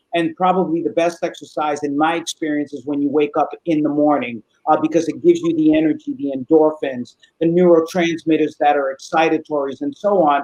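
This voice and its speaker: A man speaks at a fairly quick pace with a fairly high pitch, fairly even intonation, and an unremarkable speaking voice. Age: 60s. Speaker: psychologist. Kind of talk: interview, giving expert advice. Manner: casual, with frequent fillers.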